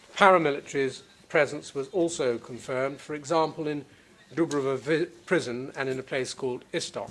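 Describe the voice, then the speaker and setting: This man talks at a fairly quick pace in a fairly high pitch, with an unremarkable speaking voice. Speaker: prosecutor. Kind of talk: courtroom opening statement. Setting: courtroom. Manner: formal.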